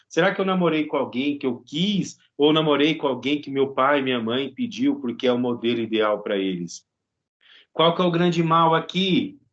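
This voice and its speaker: A man with an unremarkable speaking voice talks at a moderate pace at a fairly high pitch with lively intonation. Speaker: psychology professor and psychologist. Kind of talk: lecture.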